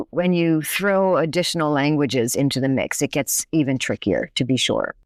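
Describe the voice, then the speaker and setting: In an American accent, a woman speaks with a very deep, low pitch, the sound dry and close with no echo on a very clean recording with a silent background. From United States. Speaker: linguistics professor. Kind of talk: podcast interview.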